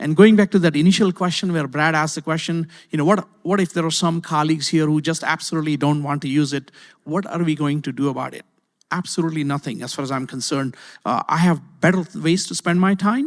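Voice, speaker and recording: On a very clean recording with a silent background, a man with a non-native accent talks very fast, fairly high-pitched with ordinary pitch variation. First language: not English. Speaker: university IT executive. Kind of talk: panel discussion. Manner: hesitant, many fillers and repeats.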